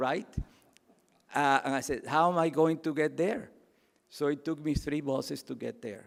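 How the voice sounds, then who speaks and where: A man with a Cuban accent speaks at a moderate pace in a fairly high pitch, leaving long, frequent pauses. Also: ordinary pitch variation. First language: Spanish. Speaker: keynote speaker. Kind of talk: speech. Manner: passionate.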